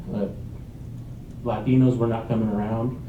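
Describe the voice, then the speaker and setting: A man with a medium-pitched voice speaks in a fairly even tone, and the room's echo is audible. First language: Spanish. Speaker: council candidate. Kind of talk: candidate forum answer.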